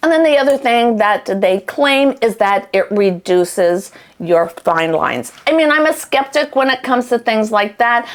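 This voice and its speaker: With an enthusiastic tone and lively intonation, a woman talks at a moderate pace in a fairly high voice, keeping her loudness very even and leaving hardly any pauses. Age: 60s. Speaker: beauty product reviewer. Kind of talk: product review tutorial. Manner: casual, enthusiastic. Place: bathroom. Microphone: lapel.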